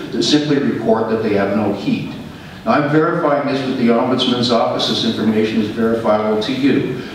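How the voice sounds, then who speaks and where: A man at a fairly quick pace, with strong room echo and light background noise. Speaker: tenant and housing activist. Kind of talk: public deputation at a board meeting. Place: meeting room.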